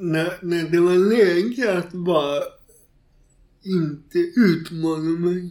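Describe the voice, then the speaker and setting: Using fairly even intonation, a man speaks at a very slow pace in a high pitch. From Gothenburg, Sweden. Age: 40s. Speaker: author and stand-up comedian. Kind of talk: interview conversation.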